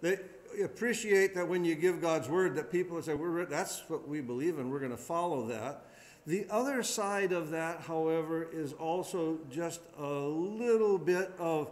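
This man speaks fairly slowly in a high voice. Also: ordinary pitch variation. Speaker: pastor. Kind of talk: Bible study teaching. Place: church. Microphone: podium.

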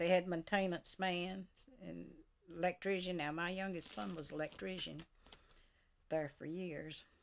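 With a Southern US accent, a woman speaks at a moderate pace and with fairly even intonation. The background is quiet. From US South. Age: 80s+. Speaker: retired mill worker. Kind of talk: oral history interview. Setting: at her home. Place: home room.

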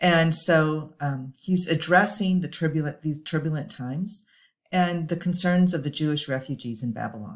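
A woman's very deep, low voice at a moderate pace, with ordinary pitch variation, against a quiet background. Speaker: pastor. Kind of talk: bible study lecture. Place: home room. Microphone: webcam.

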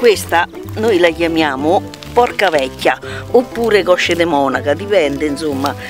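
Over clear music in the background, a woman speaks at a fairly slow pace in a very deep, low pitch with very wide pitch swings, in a dry recording with no echo. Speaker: forager explaining wild herbs. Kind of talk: casual conversation outdoors. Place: open country.

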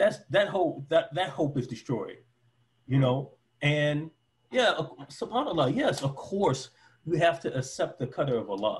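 An American-accented man, fairly high in pitch, speaks with lively intonation at a moderate pace, leaving long, frequent pauses. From Detroit, US. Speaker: former preacher and convert interviewee. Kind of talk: casual interview. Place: home room. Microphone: headset.

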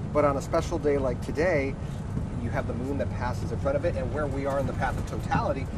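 A man talks at a very fast pace. The sound is dry with no echo, though loud background noise runs underneath. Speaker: reporter on a tour bus. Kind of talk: interview questions and live report. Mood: upbeat, hopeful. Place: bus. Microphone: lapel.

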